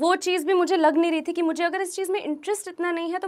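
A woman talks against a quiet background. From New Delhi, India; India. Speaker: YouTuber. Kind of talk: motivational talk. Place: studio. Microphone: lapel.

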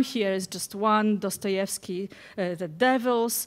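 The woman talks very slowly, her pitch shifting by an ordinary amount. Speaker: keynote speaker, professor. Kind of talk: lecture. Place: hall.

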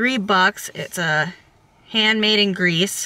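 This woman's tone is bright and sharp, with ordinary pitch variation. The sound is dry, with no echo. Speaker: reseller vlogger. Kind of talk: casual vlog chat. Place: car. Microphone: phone near.

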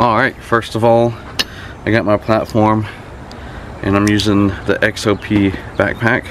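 A man's fairly low, monotone voice at a fairly slow pace, dry with no echo, over noticeable background noise. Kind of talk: casual gear walkthrough. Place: street. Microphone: camera far.

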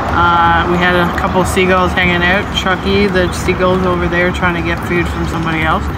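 A woman speaks over loud background noise. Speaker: food reviewer. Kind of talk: casual vlog chat. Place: garden.

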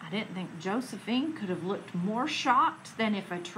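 The passage is delivered as plain reading aloud.

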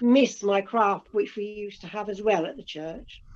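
A woman with an English accent, talking at a fairly slow pace. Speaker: amateur painter. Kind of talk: casual chat. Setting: video call. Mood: warm, gentle, slightly wistful. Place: home room. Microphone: video call.

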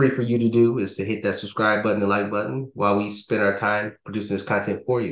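Against a quiet background with audible room echo, a man speaks at a fairly quick pace. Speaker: podcast co-host. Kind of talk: podcast talk explaining steps. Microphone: video call.

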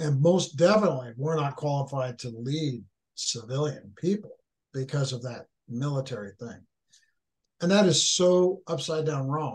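A man speaks with an American accent in a somewhat breathy voice. The background is quiet. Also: ordinary pitch variation, moderate pace. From Northern California. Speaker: author, leadership speaker, military veteran; guest. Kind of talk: podcast interview, conversational. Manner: halting, repeats words. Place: home room. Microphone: video call.

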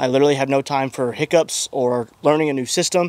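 Talking at a fairly quick pace with fairly even intonation, a man is heard in a dry sound with no echo. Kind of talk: casual vlog chat. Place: farm machine. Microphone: handheld.

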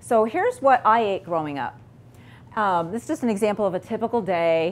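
The voice is a woman's, her pitch shifting in an ordinary way. She keeps to a moderate speed. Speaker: presenter. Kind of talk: lecture.

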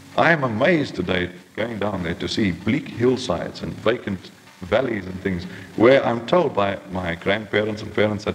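The speaker's intonation is lively at a moderate pace. Music plays in the background. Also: man, fairly low pitch for a man. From Transkei, South Africa. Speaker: journalist. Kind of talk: lecture to a society. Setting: old archived tape, poor condition.

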